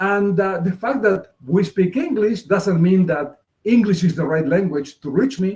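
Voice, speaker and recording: A man's high-pitched voice with a Spanish accent, ordinary pitch variation, and a fairly slow pace. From Argentina. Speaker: multicultural marketing consultant. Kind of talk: interview presentation.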